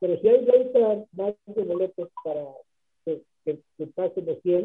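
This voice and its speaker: A man's high voice at a very slow pace, with ordinary pitch variation. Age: 70s. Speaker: rock drummer and band founder. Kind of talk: radio interview.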